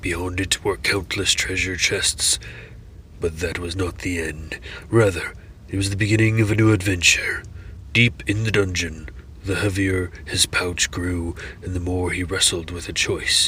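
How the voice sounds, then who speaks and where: A man's put-on character voice, very deep and low, with fairly even intonation at a moderate pace, over clear background noise. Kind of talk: dark fantasy lore reading. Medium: read story. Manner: slow, phrase by phrase.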